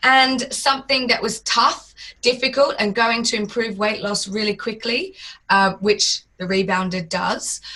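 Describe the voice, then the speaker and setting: At a fairly slow pace, a woman speaks with a fairly high, bright and sharp voice and ordinary pitch variation. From Australia. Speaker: fitness business founder. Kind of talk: interview.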